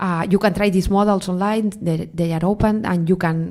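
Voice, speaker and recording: A woman speaks with a Spanish accent and ordinary pitch variation. The recording is very clean, with a silent background. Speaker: AI researcher, keynote speaker. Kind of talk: panel Q&A. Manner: halting, many fillers.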